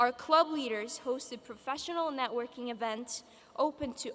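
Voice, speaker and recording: A woman's voice, high in pitch, with fairly even intonation. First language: Polish. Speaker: graduating student speaker. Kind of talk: commencement speech. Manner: formal.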